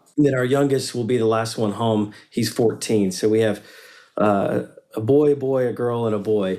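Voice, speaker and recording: With an American accent, a man speaks at a medium pitch and moderate pace in a dark, mellow tone, his intonation fairly even on a very clean recording with a silent background. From US South, Western North Carolina. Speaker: pastor and business founder. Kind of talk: casual interview.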